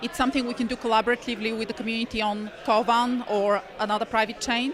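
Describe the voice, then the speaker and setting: A woman speaks at a fairly quick pace with a fairly high pitch and fairly even intonation, over noticeable background noise. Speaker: blockchain developer at a conference. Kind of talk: interview. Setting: conference event. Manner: soft-spoken; hesitant, many fillers.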